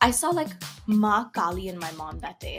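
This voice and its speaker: A woman with an American accent at a medium pitch, music in the background. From United States. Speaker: singer and content creator. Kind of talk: podcast interview answer. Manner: soft-spoken.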